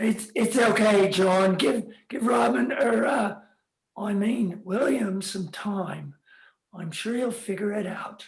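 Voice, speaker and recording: A put-on character voice from a man, raspy and high-pitched, fairly slow, with ordinary pitch variation. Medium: audio drama. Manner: hesitant, stammering.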